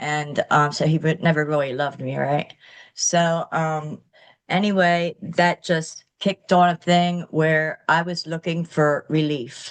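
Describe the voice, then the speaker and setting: Her voice is very deep and low for a woman. She speaks at a fairly slow pace with flat, monotone intonation. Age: 60s. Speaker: recovered chronic pain patient sharing story. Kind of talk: interview testimony. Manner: halting, many fillers.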